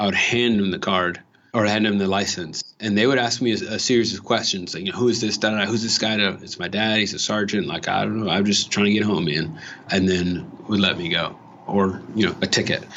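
Over noticeable background noise, a man with an American accent speaks at a fairly quick pace and a fairly low pitch, with fairly even intonation. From Los Angeles, Watts. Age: 30s. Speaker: voter interviewee. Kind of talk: interview.

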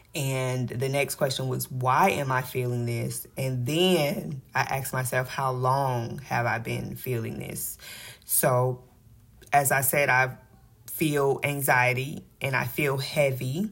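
This woman's pitch is very deep and low. She speaks very slowly and sounds somewhat breathy. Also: ordinary pitch variation. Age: 30s. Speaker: podcast host and financial coach. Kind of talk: faith-based motivational monologue. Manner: animated.

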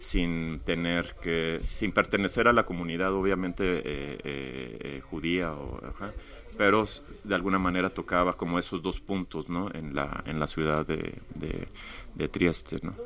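Bright and sharp in tone, the voice moves at a fairly slow pace with vocal fry and ordinary pitch variation. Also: man, very deep, low pitch for a man. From Mexico-US border, Tamaulipas/Monterrey. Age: 40s. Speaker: visual artist. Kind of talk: casual interview.

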